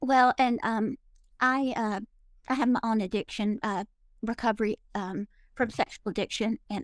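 A woman's fairly high voice with fairly even intonation at a moderate pace, in a dry, close sound with no echo. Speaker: mother of addict. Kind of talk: call-in conversation. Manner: halting, many hesitations.

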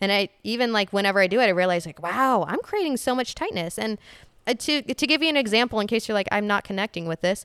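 Very fast speech with lively intonation comes through a dry, close sound with no echo. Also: woman, fairly high pitch for a woman. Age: 20s. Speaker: fitness trainer. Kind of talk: casual chat.

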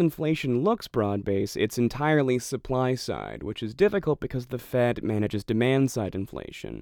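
The intonation is lively while the tone stays calm. Delivery comes at a moderate pace. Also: man. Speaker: podcast host. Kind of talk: solo monologue on markets and economy. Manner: calm, methodical.

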